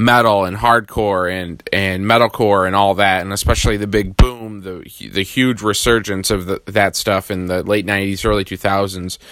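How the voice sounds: A man speaks with a fairly low pitch and a fairly bright tone.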